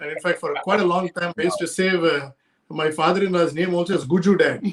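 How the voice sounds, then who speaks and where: This man talks very fast with a Telugu accent. His voice is high in pitch and his intonation is fairly even. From India, Chennai. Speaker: sales professional and couples coach. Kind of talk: interview conversation.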